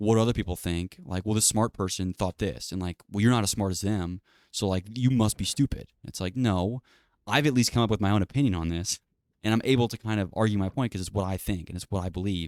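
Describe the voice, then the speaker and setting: A man talks at a very fast pace with a fairly low pitch. The sound is dry and close with no echo, in a very clean recording with a silent background. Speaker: podcaster. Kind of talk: casual solo monologue. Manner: monotone.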